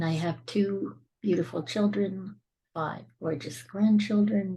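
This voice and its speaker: Her voice is medium-pitched, dark and mellow, and somewhat breathy, and this woman shows ordinary pitch variation. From Scotland. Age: 60s. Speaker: suicide survivor and speaker. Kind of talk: podcast interview.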